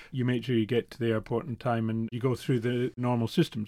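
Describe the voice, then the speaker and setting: In a Scottish accent, a man with a medium-pitched voice talks at a very fast pace. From Scotland. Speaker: newspaper reporter. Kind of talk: interview.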